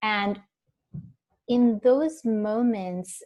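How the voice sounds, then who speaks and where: In a very clean recording with a silent background, a woman speaks at a very slow pace with ordinary pitch variation. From India. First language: not English (Indian language). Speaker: mindfulness expert and researcher. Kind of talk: interview. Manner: hesitant, many fillers.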